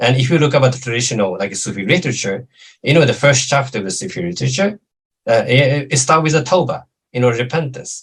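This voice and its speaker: A man with a Japanese accent talks very fast at a medium pitch with lively intonation. His voice is somewhat breathy. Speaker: lecturer on Islamic studies. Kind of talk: lecture Q&A answer. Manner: halting, many fillers.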